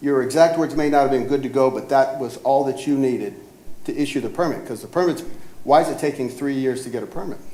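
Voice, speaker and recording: Very fast speech from a man at a fairly high pitch, with fairly even intonation, audible room echo and noticeable background noise. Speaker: property owner. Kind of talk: cross-examination at a code hearing. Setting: city government hearing room. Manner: speaks softly.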